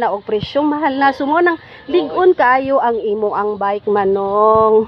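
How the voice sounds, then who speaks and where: A woman talks at a moderate pace with very wide pitch swings. The sound is dry with no echo, over light background noise. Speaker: vlogger interviewer. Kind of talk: casual vlog interview questions. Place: garden. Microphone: phone near.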